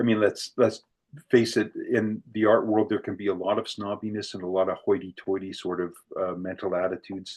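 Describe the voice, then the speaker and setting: A man with a fairly low pitch over a quiet background. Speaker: artist and workshop presenter. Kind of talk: online workshop talk. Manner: fast; hesitant with many fillers.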